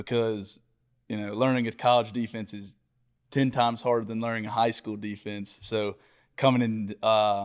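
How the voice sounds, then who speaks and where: With a Georgia accent, the speaker uses monotone, flat intonation at a moderate pace, with big swings in loudness. The recording is very clean with a silent background. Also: man, medium pitch for a man. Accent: Georgia Southern. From US South, Georgia (Watkinsville near Athens). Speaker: college football player. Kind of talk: casual interview.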